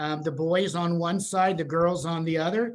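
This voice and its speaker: A man with a Pennsylvania accent speaks at a high pitch and moderate pace. His intonation is fairly even, with audible room echo. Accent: Pennsylvania American. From central Pennsylvania. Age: 60s. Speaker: senior housing sales and marketing presenter. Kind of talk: webinar presentation. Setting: Zoom video call. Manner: halting, many fillers.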